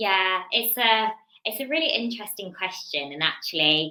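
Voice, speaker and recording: Speaking at a moderate pace with a Birmingham accent, a woman's bright, sharp voice swings very widely in pitch. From English Midlands, Birmingham. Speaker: business executive. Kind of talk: podcast interview.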